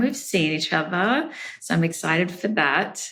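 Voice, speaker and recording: A woman with an Australian accent speaks at a medium pitch in a bright, sharp tone. Her intonation is lively. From Australia, Brisbane. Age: 30s. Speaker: podcast guest. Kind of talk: casual interview. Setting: remote call.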